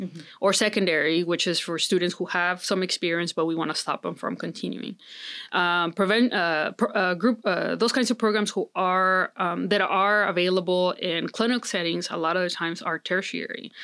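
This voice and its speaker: Over a very clean recording with a silent background, a woman with a Spanish accent speaks at a moderate pace in a medium-pitched, bright, sharp tone with fairly even intonation. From Mexico. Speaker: psychology professor. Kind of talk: interview. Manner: many fillers and restarts.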